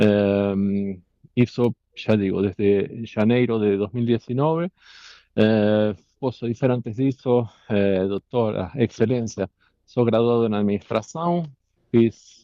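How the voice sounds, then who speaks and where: A man with a non-native accent speaks at a fairly low pitch and a fairly slow pace. His pitch variation is ordinary. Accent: foreign accent in Portuguese. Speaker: company director testifying as defendant. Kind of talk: court testimony. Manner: halting.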